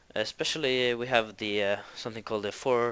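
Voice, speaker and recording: Fairly even intonation and a bright, sharp tone in a Norwegian accent, on a very clean recording with a silent background. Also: man. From Norway. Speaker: interviewee. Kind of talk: interview answers. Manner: hesitant, many fillers.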